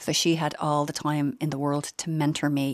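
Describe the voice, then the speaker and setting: A woman speaks with a very deep, low pitch in a Dublin accent. The recording is very clean, with a silent background. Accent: Dublin Irish. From Dublin (Finglas), Ireland. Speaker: pharmacy entrepreneur. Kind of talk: radio interview.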